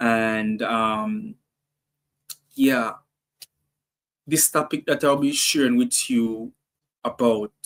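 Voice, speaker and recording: A man speaks very slowly at a medium pitch, with lively intonation, very even loudness and long, frequent pauses. The sound is dry and close, with no echo. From Jamaica. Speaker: songwriting coach. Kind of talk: workshop presentation. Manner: hesitant, many fillers.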